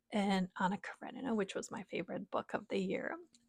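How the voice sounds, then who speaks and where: In a very clean recording with a silent background and a dry, close sound with no echo, a woman with a non-native accent speaks with ordinary pitch variation. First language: not English. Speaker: book vlogger. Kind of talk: casual chat. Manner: hesitant, many fillers.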